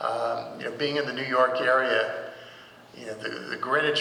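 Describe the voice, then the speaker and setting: Speaking at a moderate pace with an American accent, a man is heard with audible room echo and noticeable background noise. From New Jersey. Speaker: folk radio host and venue president. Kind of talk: panel discussion.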